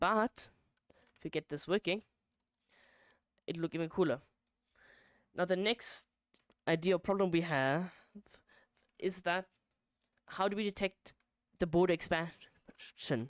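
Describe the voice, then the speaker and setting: The woman's pitch is fairly low, with ordinary pitch variation. Her pace is fairly slow, with long, frequent pauses. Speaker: game modding streamer. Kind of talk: live stream coding commentary. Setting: live stream at computer. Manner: casual, filler-heavy.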